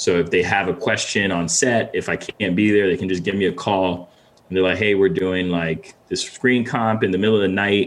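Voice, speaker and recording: A man's plain, everyday voice, fairly low in pitch, with an American accent, fairly even intonation and a moderate pace. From Ghana, then Connecticut from late 90s. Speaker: visual effects supervisor. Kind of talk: casual interview.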